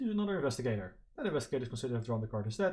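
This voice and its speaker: A man with a non-native accent speaks in a somewhat breathy voice with lively intonation. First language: not English. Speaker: board game player and video creator. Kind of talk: gameplay commentary. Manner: hesitant, many fillers.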